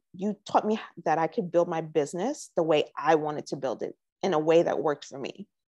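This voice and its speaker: A woman speaks in a New York accent with vocal fry and a fairly low pitch, at a moderate pace. Behind her, the background stays quiet. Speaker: entrepreneur, sales coaching client. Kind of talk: interview. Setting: live stream.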